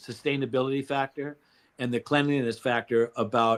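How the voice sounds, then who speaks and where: At a moderate pace, a man with an ordinary speaking voice and a fairly high pitch uses fairly even intonation, the sound dry and close with no echo. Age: 60s. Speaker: company founder. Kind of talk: interview. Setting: live stream.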